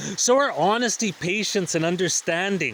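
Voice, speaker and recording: Noticeable background noise sits behind a man with high pitch. He talks at a moderate pace with lively intonation. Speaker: spiritual vlogger. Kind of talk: personal reflective monologue.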